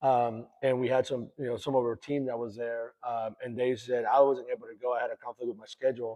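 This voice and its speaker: In a Spanish accent, a man talks fairly quickly with hardly any pauses, monotone, flat intonation and big swings in loudness. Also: medium pitch for a man. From El Salvador, then Houston from age 12. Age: 40s. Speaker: racing club owner. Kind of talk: casual interview.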